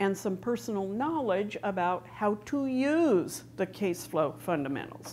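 At a fairly slow pace, a woman's voice moves through very wide pitch swings. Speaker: conference presenter. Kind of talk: lecture. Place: stage. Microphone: lapel.

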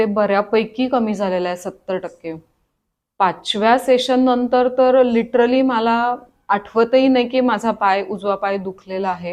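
A woman with an ordinary speaking voice, fairly high pitch and ordinary pitch variation. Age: 40s. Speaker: patient. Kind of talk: testimony.

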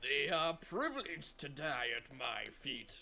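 Over clear background noise, a man with a fairly high pitch speaks at a fairly slow pace, his pitch varying in an ordinary way. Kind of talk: amateur video-game voice impressions. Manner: growling, menacing.

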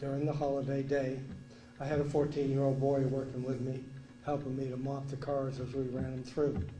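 With noticeable background noise and audible room echo, a man speaks fairly quickly at a medium pitch in a monotone, flat intonation. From Vermont. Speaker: resident speaking at council meeting. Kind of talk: public comment.

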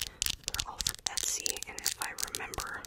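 This is a woman's voice. She is whispering. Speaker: ASMR content creator. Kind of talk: ASMR video, casual talk to camera. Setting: home recording with close microphone. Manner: whispered. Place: home room. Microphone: studio mic.

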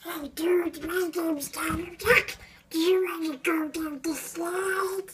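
In a put-on character voice with an extremely high pitch, the speaker talks at a fairly slow pace.

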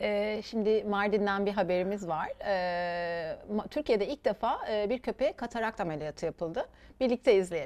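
Here a woman talks at a moderate pace. Her pitch varies in an ordinary way. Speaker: TV show host. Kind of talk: interview. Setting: studio. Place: studio. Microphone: lapel.

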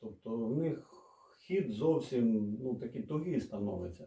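Lively intonation from a man. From Odesa, Ukraine. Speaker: mechanic. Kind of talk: casual talk to camera, DIY explanation. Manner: slow, hesitant.

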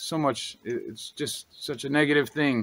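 A man's voice comes through dry with no echo, with light background noise behind it. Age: 40s. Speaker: YouTuber and drone hobbyist; drone hobbyist vlogger. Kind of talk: unscripted commentary video. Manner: animated. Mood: frustrated, concerned. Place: forest.

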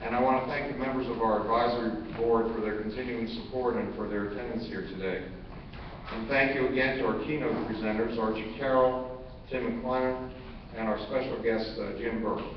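Talking at a fairly quick pace with fairly even intonation, a man is heard with audible room echo and light background noise. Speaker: conference host. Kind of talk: closing remarks speech. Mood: warm, grateful, light humor. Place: hall. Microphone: podium.

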